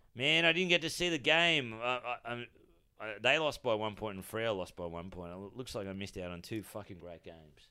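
With an Australian accent and a bright, sharp tone, a man talks at a fairly quick pace, his pitch swinging very widely and his loudness varying a lot, on a very clean recording with a silent background. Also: medium pitch for a man. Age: 40s. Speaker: comedian. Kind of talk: casual chat.

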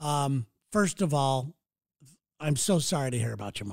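A man's fairly high pitch at a moderate pace. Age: 60s. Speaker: podcast host. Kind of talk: solo podcast monologue. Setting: studio. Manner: animated.

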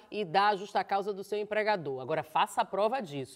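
With noticeable background noise, a woman of medium pitch speaks at a fairly quick pace with very wide pitch swings. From Bahia, Brazil. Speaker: journalist and TV presenter. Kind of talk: casual chat.

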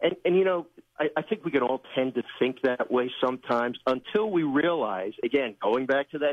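With a normal speaking voice, a man talks at a moderate pace, his fairly high pitch carrying lively intonation. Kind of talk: devotional talk, Scripture reading.

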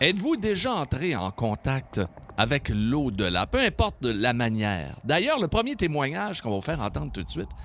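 Using vocal fry, a man talks at a moderate pace with very wide pitch swings. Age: 60s. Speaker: radio host. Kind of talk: casual chat.

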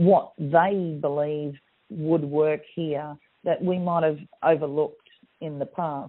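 Someone with an Australian accent speaks at a very slow pace with fairly even intonation. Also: woman. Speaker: business hub manager. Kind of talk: recorded interview. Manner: halting. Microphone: crackly phone line.

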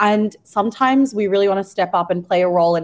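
A woman talks at a fairly quick pace. She has an Australian accent. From Australia (Melbourne). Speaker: magazine editor. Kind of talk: interview. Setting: radio studio.

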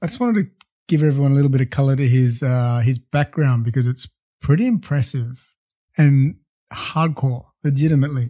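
A man speaks fairly quickly with an Australian accent, his pitch fairly high and varying in an ordinary way. His tone is dark and mellow, somewhat breathy, and the sound is dry and close with no echo. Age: 30s. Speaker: podcast host. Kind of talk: casual chat.

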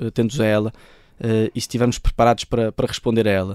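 Very fast speech in a European Portuguese accent, dark and mellow in tone, with a dry, close sound and no echo. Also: man. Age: 20s. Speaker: football coach and author. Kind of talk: interview. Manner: halting, frequent repetitions.

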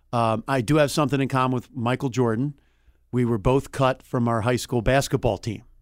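A man with a Philadelphia accent talks at a fairly quick pace and medium pitch, with fairly even intonation, in a dry, close sound with no echo. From Delaware County, outside Philadelphia. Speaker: sports reporter. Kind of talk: casual interview.

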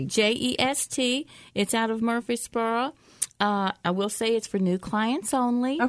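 Against a quiet background, a woman with a Southern US accent speaks at a very slow pace and a fairly high pitch, with ordinary pitch variation and very even loudness. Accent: Southern country. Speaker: shopping podcast co-host. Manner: casual, chatty.

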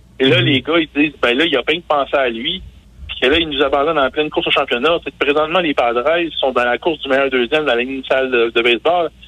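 With fairly even intonation, a man with a fairly high pitch speaks very fast amid clear background noise. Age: 40s. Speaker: sports journalist. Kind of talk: radio sports segment. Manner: halting.

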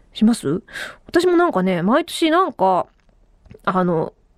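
A woman speaks in an animated tone with very wide pitch swings. The sound is dry and close, with no echo. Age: 30s. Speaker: radio host. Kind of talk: casual solo podcast talk. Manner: animated, frequent laughter.

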